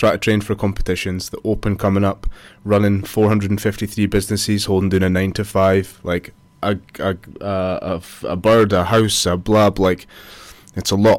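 A man talks in a Scottish Borders accent with a fairly low pitch. His intonation is monotone and flat, on a very clean recording with a silent background. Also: moderate pace. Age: 30s. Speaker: personal trainer and business owner. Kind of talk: casual chat.

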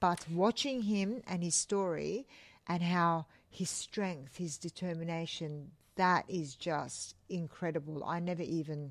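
Speaking at a fairly slow pace, a woman with a fairly low pitch has a plain, everyday voice and ordinary pitch variation. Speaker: podcast co-host. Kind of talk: casual chat.

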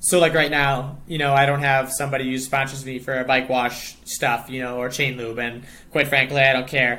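In an American accent, a bright, sharp voice runs on with hardly any pauses and a monotone, flat intonation. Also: man, medium pitch for a man, moderate pace. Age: 20s. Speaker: professional cyclist. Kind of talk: casual chat.

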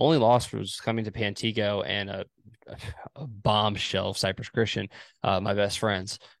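At a moderate pace, a man with an American accent speaks in an unremarkable speaking voice, fairly low in pitch with fairly even intonation. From Texas. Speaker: sports podcast host. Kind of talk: casual sports chat. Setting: video call. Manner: laid-back, slangy.

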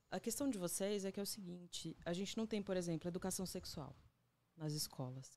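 A woman's medium-pitched voice at a fairly quick pace with lively intonation, on a very clean recording with a silent background. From Agreste of Pernambuco, Brazil. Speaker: photographer and visual artist. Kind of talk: casual interview. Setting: studio.

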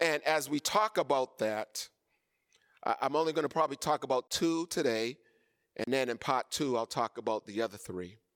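In an American accent, a man with a medium pitch talks at a moderate pace, his intonation lively and his tone animated, the sound dry and close with no echo. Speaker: bishop preacher. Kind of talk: sermon. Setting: church with online viewers. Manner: animated, call-and-response preaching, rising intensity; exhorting the congregation with emphatic repetition.

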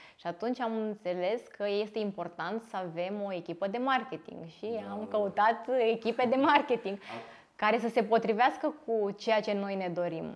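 Using an ordinary speaking voice, a woman talks at a moderate pace, her fairly high pitch showing ordinary variation. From Romania, Târgu Jiu. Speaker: physiotherapist and clinic owner. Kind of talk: interview.

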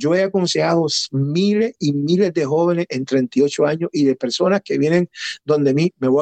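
This man has an ordinary speaking voice, fairly high in pitch, with ordinary pitch variation. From Puerto Rico, raised in Connecticut. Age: 50s. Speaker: pastor. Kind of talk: testimony.

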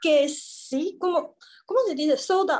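With a Mandarin Chinese accent, a woman speaks at a very slow pace. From Taiwan. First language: Mandarin Chinese (speaking Spanish). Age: 20s. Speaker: former exchange intern. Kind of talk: interview. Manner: halting, searching for words.

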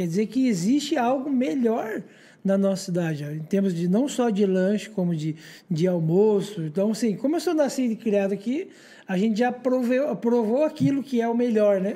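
This man speaks at a moderate pace in a high pitch. His tone is dark and mellow, with lively intonation. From Paranaguá, Paraná, Brazil. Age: 30s. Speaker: entrepreneur. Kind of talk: casual interview chat. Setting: studio.

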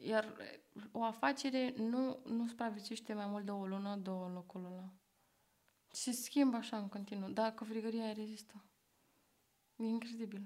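Her intonation stays fairly even as this woman talks at a moderate pace with a fairly high pitch. She leaves long, frequent pauses. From Bucharest, Romania (Berceni). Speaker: podcast host, art student. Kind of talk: casual chat.

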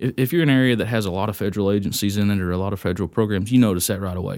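A man with a Texan accent at a very fast pace, on a very clean recording with a silent background. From Texas, Wise County. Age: 30s. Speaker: county judge. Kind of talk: casual interview.

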